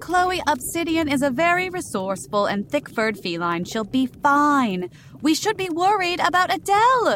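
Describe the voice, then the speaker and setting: A woman talks at a high pitch with very wide pitch swings and hardly any pauses. Noticeable background noise runs beneath her. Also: moderate pace. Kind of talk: horror-comedy audio drama. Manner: prim, elaborately formal, dryly arch.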